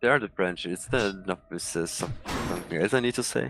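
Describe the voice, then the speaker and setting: A man is speaking. His intonation is lively. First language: German. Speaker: fellow gamer. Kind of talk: casual chat. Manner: halting, searching for words.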